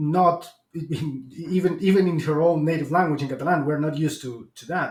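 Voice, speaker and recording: A man's voice sits at a fairly high pitch. He talks at a moderate pace with fairly even intonation. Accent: Spanish. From Argentina. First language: Spanish. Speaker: podcast host. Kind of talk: interview. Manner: halting, many repetitions and fillers.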